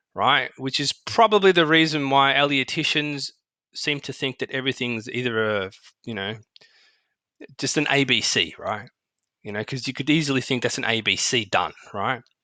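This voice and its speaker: A man with an Australian accent talks at a medium pitch and moderate pace, with ordinary pitch variation. His tone is bright and sharp, over a quiet background. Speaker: market analyst. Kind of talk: tutorial. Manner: casual, halting with fillers.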